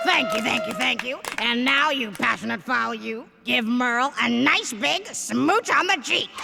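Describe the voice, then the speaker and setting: A woman uses a cartoonish character voice with high pitch. She keeps a moderate pace over clear background noise. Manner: theatrical, sarcastic.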